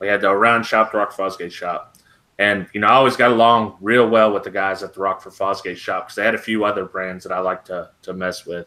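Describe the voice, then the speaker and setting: Very fast, flat, monotone speech from a man with a fairly low pitch and a bright, sharp tone, set against a quiet background. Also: big swings in loudness. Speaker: DIY YouTuber; podcast host. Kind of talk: casual chat. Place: home room. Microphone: webcam.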